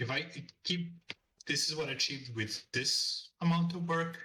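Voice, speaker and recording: This man speaks at a moderate pace with a non-native accent, a fairly high pitch, and long, frequent pauses. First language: not English. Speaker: freelance illustrator. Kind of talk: interview. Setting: call.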